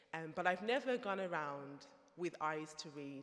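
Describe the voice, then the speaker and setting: This woman has a very deep, low pitch and speaks in a Birmingham accent. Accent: Brummie. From Birmingham, England. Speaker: theologian. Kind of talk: conference talk.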